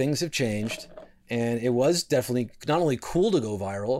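With an American accent, a man speaks at a moderate pace and medium pitch in a plain, everyday voice. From New York, Westchester suburbs. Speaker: comedian. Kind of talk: casual chat.

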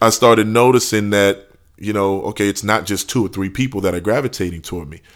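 Over a very clean recording with a silent background, a man with a New Orleans accent speaks at a very fast pace in a fairly low pitch, with fairly even intonation and big swings in loudness. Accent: New Orleans Southern US. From New Orleans, Louisiana. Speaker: rapper. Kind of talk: casual interview.

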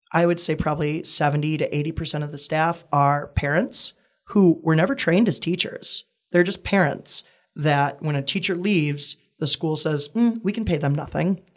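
A man with an American accent and a plain, everyday voice talks at a moderate pace, using a fairly high pitch and ordinary pitch variation. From US Midwest, Wisconsin. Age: 20s. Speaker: actor and comedian. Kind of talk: casual interview.

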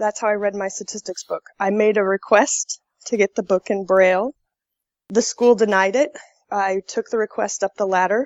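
A woman's medium-pitched, fairly even delivery at a moderate pace, an ordinary speaking voice. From Colorado, US. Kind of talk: interview.

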